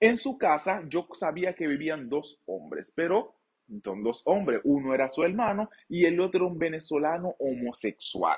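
A man's high voice with a Dominican accent, at a fairly slow pace against a quiet background. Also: lively intonation. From Dominican Republic. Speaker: YouTuber and sexologist; storyteller vlogger. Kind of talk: storytime vlog. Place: studio.

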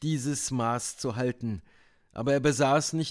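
The speaker reads in an unforced voice.

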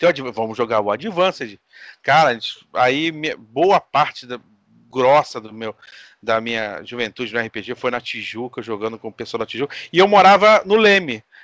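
A man's medium-pitched voice at a moderate pace, lively in intonation, with big swings in loudness, a dry sound with no echo, and a quiet background. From Brazil. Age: 40s. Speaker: RPG game master, content creator; podcast guest. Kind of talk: casual chat. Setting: online call. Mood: relaxed, friendly. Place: home room.

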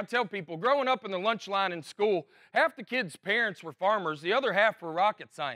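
A man with a Southern US accent projects a raised, high-pitched voice with a bright, sharp tone and lively intonation at a fairly quick pace. The sound is dry and close with no echo, on a very clean recording with a silent background. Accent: Southern American. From Alabama. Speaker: stand-up comedian. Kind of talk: casual storytelling to camera.

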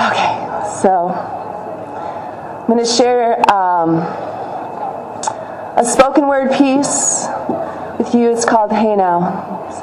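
A woman speaks at a very slow pace, leaving long, frequent pauses. Noticeable background noise sits behind her. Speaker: spoken word poet and activist. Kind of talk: casual speech to a rally crowd. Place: street. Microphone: podium.

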